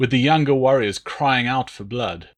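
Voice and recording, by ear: The text is read aloud in a natural voice whose intonation stays fairly even.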